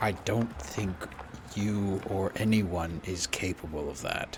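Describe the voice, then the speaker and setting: A man uses a put-on character voice with a very deep, low pitch. Clear background noise runs behind him. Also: fairly slow pace. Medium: actual play. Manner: curt, short sentences.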